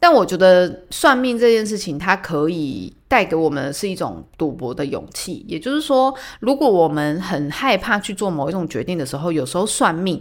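A woman talks at a medium pitch with very wide pitch swings. She barely pauses at all. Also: moderate pace. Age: 30s. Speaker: podcast host. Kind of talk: casual solo talk.

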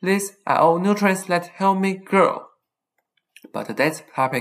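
The speaker talks at a moderate pace with a Taiwanese accent. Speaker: podcast host, college student. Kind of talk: scripted monologue.

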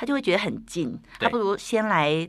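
With vocal fry in her voice, a woman lets her pitch swing very widely. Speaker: tea studio podcaster. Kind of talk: casual interview.

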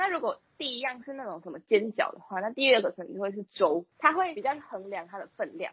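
A woman with a high pitch talks at a fairly quick pace with hardly any pauses, her pitch swinging very widely and her loudness shifting a lot. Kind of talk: casual chat.

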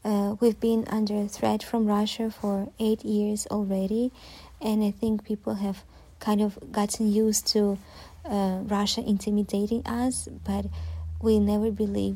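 A woman at a fairly slow pace with a Ukrainian accent. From southern Ukraine, Zaporizhzhia. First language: Ukrainian (speaking Chinese). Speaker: Ukrainian expat interviewee. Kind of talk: interview answers. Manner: halting with frequent fillers.

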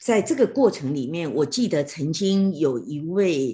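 Against a quiet background, a woman with a dark, mellow tone and lively intonation talks at a very slow pace. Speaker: radio host. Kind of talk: online talk moderation. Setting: online livestream talk.

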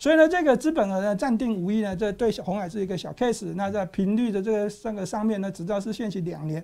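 On a very clean recording with a silent background, a man with a high pitch, dark, mellow tone and ordinary pitch variation talks at a very fast pace with hardly any pauses. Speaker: stock market analyst. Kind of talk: casual market analysis chat.

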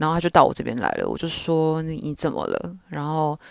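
In a dry, close sound with no echo and a quiet background, a woman speaks with a very deep, low pitch and a relaxed tone. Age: 20s. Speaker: podcast host. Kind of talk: casual solo monologue. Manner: relaxed, informal.

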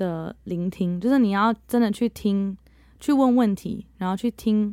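A dark, mellow tone with ordinary pitch variation, in a very clean recording with a silent background. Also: woman. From Netherlands. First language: bilingual Mandarin and English (speaking Chinese). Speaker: English teacher. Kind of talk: interview.

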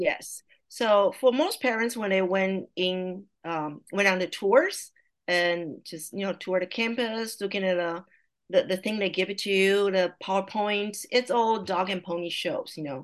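With a Taiwanese accent, a woman speaks at a fairly slow pace and medium pitch. Her pitch variation is ordinary, and the background is quiet. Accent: Taiwanese Mandarin-accented English. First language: Mandarin Chinese. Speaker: language teacher and parent. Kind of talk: casual interview.

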